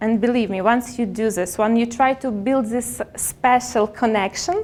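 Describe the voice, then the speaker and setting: Very slowly, a woman with a non-native accent speaks at a fairly high pitch. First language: not English. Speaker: public speaker. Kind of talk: motivational talk. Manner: halting.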